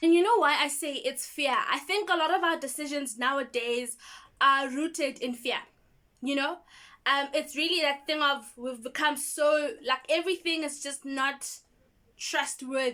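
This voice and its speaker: Pitched high, a woman speaks in a raised, projected voice with a bright, sharp tone, a moderate pace and ordinary pitch variation. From South Africa. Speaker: YouTuber. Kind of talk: vlog monologue. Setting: home in township. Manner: casual, conversational.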